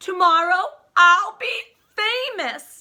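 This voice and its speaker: A woman does a put-on character voice at an extremely high pitch. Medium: read story. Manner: excited.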